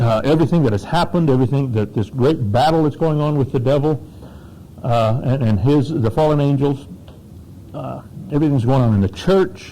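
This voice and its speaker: A man's medium-pitched voice with an American accent, at a fairly quick pace with ordinary pitch variation. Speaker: pastor. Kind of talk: workshop talk. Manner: informal, off the cuff; halting, many fillers.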